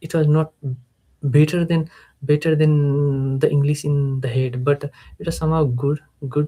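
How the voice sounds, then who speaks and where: A man speaks at a fairly slow pace with a fairly high pitch and a dark, mellow tone. His voice is somewhat breathy, with a monotone, flat intonation. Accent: Nepali. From Nepal. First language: Nepali. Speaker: English learner, freelancer. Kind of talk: live stream speaking practice. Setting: live stream, camera. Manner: halting, many fillers and repetitions.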